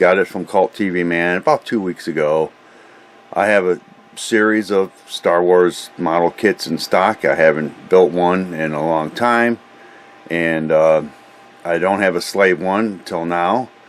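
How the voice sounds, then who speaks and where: Through noticeable background noise, a man with a very deep, low voice speaks fairly slowly and with fairly even intonation. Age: 60s. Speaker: scale model hobbyist. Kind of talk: product review. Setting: home hobby room workbench. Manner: halting, many fillers; casual.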